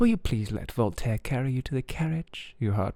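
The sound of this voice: Someone reads in an unforced voice.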